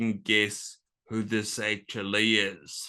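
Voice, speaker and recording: Against a quiet background, a man with a New Zealand accent speaks very slowly in a bright, sharp tone. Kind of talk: talk to an audience. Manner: slurred speech.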